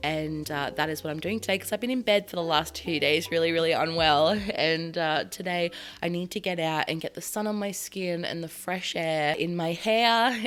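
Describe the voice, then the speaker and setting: A woman with an Australian accent at a moderate pace, with ordinary pitch variation. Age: 30s. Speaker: lifestyle vlogger. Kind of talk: casual talk to camera.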